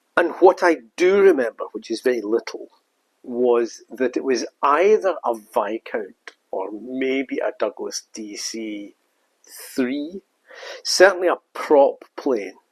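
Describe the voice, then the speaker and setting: A man with a Scottish accent speaks very slowly, his loudness swinging widely, in a dry, close recording with no echo. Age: 70s. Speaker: storytelling vlogger. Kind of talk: casual storytelling monologue. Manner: reflective, with hesitations.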